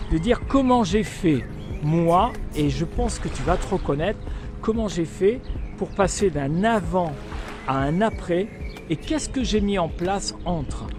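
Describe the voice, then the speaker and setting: With music in the background, a man talks at a fairly slow pace, taking long, frequent pauses. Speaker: personal development coach. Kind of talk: motivational vlog talk. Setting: outdoors. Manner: animated.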